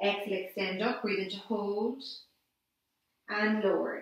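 A woman speaks in a monotone, flat intonation, with strong room echo over a quiet background. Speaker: Pilates instructor. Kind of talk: guided exercise class, calm step-by-step instructions. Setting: online video class. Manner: calm, soothing, slow and measured, cueing breathing. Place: empty room. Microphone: camera far.

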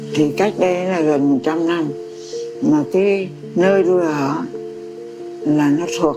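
A woman speaking at a very slow pace, with clear music in the background. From Vietnam. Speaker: memoir author. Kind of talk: interview answer. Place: home room.

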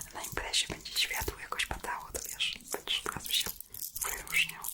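A woman is whispering at a fairly quick pace. Noticeable background noise runs underneath. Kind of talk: ASMR personal attention roleplay. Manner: whispered, soft-spoken.

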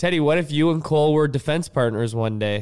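A man with a Canadian accent against a quiet background. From Canada. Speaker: professional hockey player. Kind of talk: casual chat with children. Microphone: studio mic.

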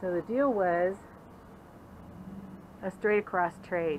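Over light background noise, a woman speaks at a very slow pace. Her fairly low voice shows ordinary pitch variation. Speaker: RV vlogger. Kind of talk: casual vlog chat. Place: street. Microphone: phone near.

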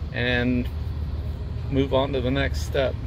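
There is noticeable background noise. A man talks at a very slow pace. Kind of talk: tutorial. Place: car. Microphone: phone near.

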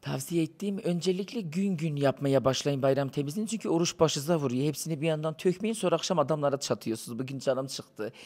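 At a very fast pace with hardly any pauses, a man talks at a fairly high pitch with ordinary pitch variation. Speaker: entertainer visiting as interview guest; interview guest. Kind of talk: casual interview chat. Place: cafe. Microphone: handheld.

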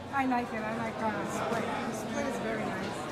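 Crowd noise fills the background. A woman talks at a fairly slow pace. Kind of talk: casual vlog chat. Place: station. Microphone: phone near.

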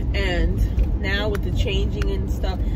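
A woman speaks fairly slowly while loud noise fills the background. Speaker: vlogger. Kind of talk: casual vlog chat. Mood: relaxed chatty. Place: car. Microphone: phone near.

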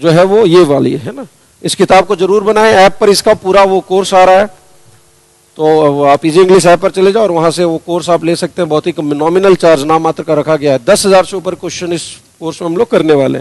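A high-pitched male voice with ordinary pitch variation over a quiet background. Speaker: English teacher. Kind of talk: lecture. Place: classroom. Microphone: headset.

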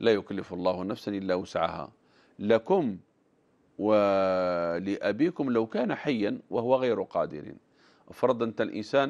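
A man speaks at a very slow pace. His pitch sits fairly low. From Algeria. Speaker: religious scholar answering viewer questions. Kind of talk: religious Q&A program mixing formal Arabic and dialect. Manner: animated. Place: studio. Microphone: lapel.

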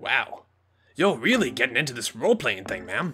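This is a put-on character voice. It moves at a fairly quick pace. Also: man, medium pitch for a man. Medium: game stream. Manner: folksy, polite, says ma'am.

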